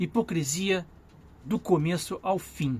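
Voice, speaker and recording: This voice belongs to a man. His pitch is high. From Brazil. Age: 60s. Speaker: vlogger and journalist. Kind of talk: political commentary monologue. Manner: repetitive, self-correcting.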